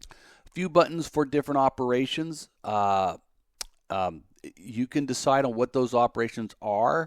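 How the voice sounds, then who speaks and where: A man's medium-pitched voice at a fairly slow pace, with lively intonation and big swings in loudness, in a dry, close sound with no echo and a very clean recording over a silent background. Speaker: electronics hobbyist YouTuber. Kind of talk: tutorial. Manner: hesitant, many fillers; deliberately slow.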